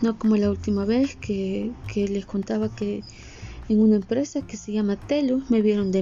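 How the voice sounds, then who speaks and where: The speech keeps a moderate pace. Noticeable background noise runs underneath. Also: woman. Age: 30s. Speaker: podcaster. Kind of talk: personal monologue. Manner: casual.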